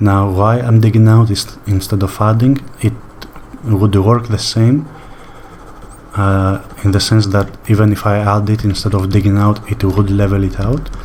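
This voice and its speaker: Fairly low-pitched male voice, monotone and flat, with long, frequent pauses and noticeable background noise. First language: not English. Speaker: sculpting tutorial creator. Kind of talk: tutorial. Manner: slow paced; relaxed, hesitant with fillers.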